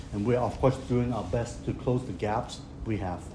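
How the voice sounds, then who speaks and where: Somewhat breathy and dark, mellow in tone, the speech moves at a fairly quick pace in a Hong Kong accent. An audible room echo surrounds it. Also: man. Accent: Hong Kong Cantonese-accented English. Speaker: county politician. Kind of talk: public speech. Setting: press conference at clinic opening.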